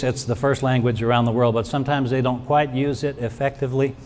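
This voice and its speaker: At medium pitch, a man speaks with monotone, flat intonation. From Brazil. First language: Portuguese. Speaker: pastoral care professor. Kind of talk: award acceptance speech.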